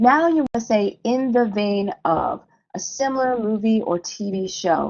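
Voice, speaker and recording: At a fairly slow pace, a woman with an American accent speaks at medium pitch with ordinary pitch variation, in a plain, everyday voice. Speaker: screenwriting teacher. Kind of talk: lecture.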